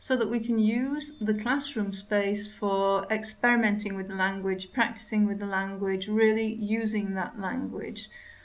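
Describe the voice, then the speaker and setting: A woman's fairly high voice at a moderate pace, fairly even in intonation, with audible room echo. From Yorkshire, northern England. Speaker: English language teacher. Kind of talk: interview. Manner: hesitant with frequent 'um' fillers.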